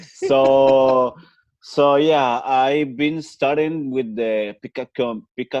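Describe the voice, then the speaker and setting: A man with a Spanish accent speaks at a medium pitch and a very slow pace. The background is quiet. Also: dry, close sound with no echo. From Chile. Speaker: podcast guest. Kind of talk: casual interview. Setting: video call. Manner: halting, hesitant English.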